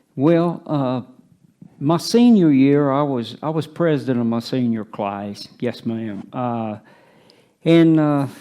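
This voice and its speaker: Very slowly and with lively intonation, a man with a Tennessee accent speaks in a fairly high pitch and a dark, mellow tone on a very clean recording with a silent background. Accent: Southern US (Tennessee). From US South, East Tennessee. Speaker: retirement community resident. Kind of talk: life story interview. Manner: halting.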